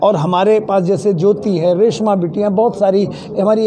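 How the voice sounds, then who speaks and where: The recording has audible room echo and noticeable background noise. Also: man. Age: 70s. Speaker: award organization organizer. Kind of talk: interview at award event.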